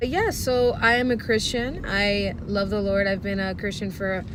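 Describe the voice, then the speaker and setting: A woman talks at a moderate pace. The room echo is audible, and there is noticeable background noise. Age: 20s. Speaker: vlogger. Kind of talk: casual vlog monologue.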